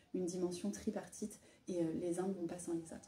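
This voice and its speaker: Monotone, flat intonation at a moderate pace. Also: woman. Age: 30s. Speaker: micro-nursery founder. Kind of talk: interview. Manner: hesitant, many fillers.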